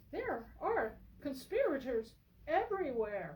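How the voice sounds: A female-sounding put-on character voice is pitched high. It moves at a fairly slow pace.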